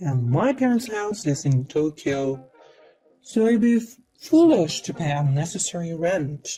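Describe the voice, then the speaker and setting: Music plays in the background as a woman speaks. She uses a put-on character voice at a moderate pace. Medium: fan dub.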